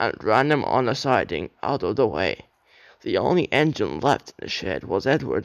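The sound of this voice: Lively intonation runs through this voice. It is an unforced reading voice.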